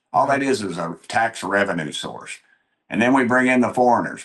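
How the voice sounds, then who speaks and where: A man's animated tone at a moderate pace, with ordinary pitch variation. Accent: Tennessee. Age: 60s. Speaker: congressman. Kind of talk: political talk show interview. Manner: animated, folksy storytelling.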